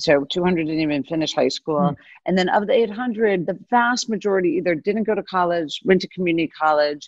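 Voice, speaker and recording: A woman at medium pitch with a normal speaking voice, ordinary pitch variation and a fairly quick pace, hardly any pauses. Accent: American. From US South. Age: 50s. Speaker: venture capital investor. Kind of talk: interview.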